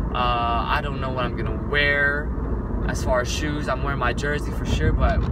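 Loud background noise sits behind a man speaking at a moderate pace. The sound is dry with no echo. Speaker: vlogger. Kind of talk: casual vlog chat. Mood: wistful, a bit sad. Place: car. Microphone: phone near.

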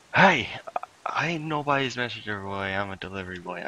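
Using a put-on character voice, a man talks raspily at a fairly quick pace and fairly low pitch.

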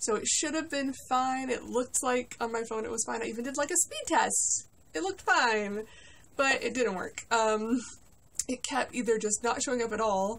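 A woman's high-pitched voice at a moderate pace, ordinary pitch variation, and light background noise. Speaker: collector vlogger. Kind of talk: casual vlog chat. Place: home room. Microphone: phone near.

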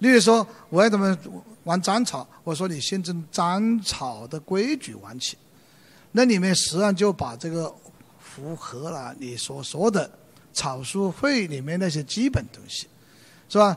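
This high-pitched man speaks at a fairly slow pace with long, frequent pauses, very wide pitch swings and big swings in loudness. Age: 70s. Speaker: calligrapher and retired book editor; lecturer. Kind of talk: lecture. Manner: hesitant, many fillers. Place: stage. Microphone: handheld.

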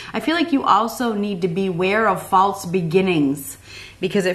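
At a fairly quick pace, a woman talks with fairly even intonation. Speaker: tarot reader. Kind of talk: tarot reading commentary. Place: home room.

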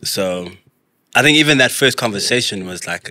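A man's fairly low voice, bright and sharp in tone, at a moderate pace, with a dry sound and no echo. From South Africa. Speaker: actor and visual artist; podcast guest. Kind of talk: casual interview chat. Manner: laid-back, slangy. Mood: relaxed, animated storytelling. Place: studio. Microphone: studio mic.

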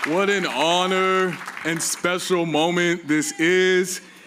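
Crowd noise fills the background as a man speaks in a high pitch with ordinary pitch variation. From Nigeria. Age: 20s. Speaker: graduating student, valedictorian. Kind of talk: graduation speech. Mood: warm, playful, honored. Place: stage. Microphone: podium.

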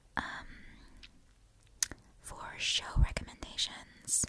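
A whispered voice at a very slow pace, with noticeable background noise. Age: 20s. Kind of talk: ASMR whisper ramble.

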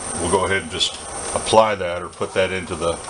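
Over clear background noise, a man speaks low and fairly quickly with fairly even intonation.

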